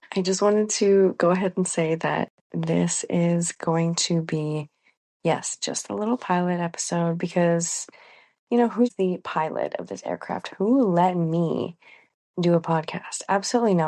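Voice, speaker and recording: A woman with a fairly low voice speaks in a dark, mellow tone at a fairly slow pace, with ordinary pitch variation. The sound is dry and close with no echo, over a quiet background. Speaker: podcast host. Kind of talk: solo podcast chat.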